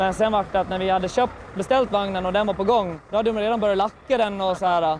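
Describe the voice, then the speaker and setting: Speaking very fast with fairly even intonation, a high-pitched man with a Gotland accent is heard against noticeable background noise. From Gotland, Sweden. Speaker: truck driver. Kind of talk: casual interview.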